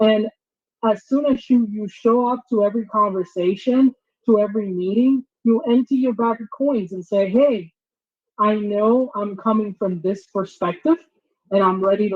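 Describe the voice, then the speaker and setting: In a Spanish accent, a woman speaks at a moderate pace with a medium pitch and ordinary pitch variation. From Dominican Republic, then St. Louis, Missouri. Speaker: diversity trainer and company founder. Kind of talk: workshop presentation.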